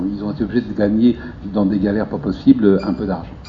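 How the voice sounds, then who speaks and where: A man speaks over noticeable background noise. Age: 50s. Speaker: debate participant. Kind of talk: public group discussion.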